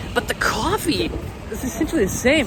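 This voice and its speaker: A loud man's voice against noticeable background noise. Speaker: travel vlogger. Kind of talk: casual chat. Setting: outdoors.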